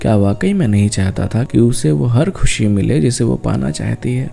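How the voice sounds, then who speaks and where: A soft-spoken man with a fairly low pitch and a gentle tone, very wide pitch swings, and music in the background. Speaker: voiceover artist and writer. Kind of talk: emotional love-talk monologue, relaxing spoken-word. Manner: soft, gentle, intimate, heartfelt.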